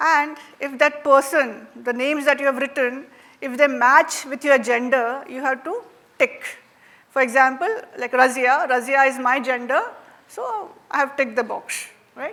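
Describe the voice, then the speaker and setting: Speaking in a Marathi Indian accent at a moderate pace, a woman with a high pitch uses ordinary pitch variation, big swings in loudness, and long, frequent pauses. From India, Maharashtra. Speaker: workshop facilitator. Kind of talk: interactive workshop talk. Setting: stage with audience. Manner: conversational, frequent fillers.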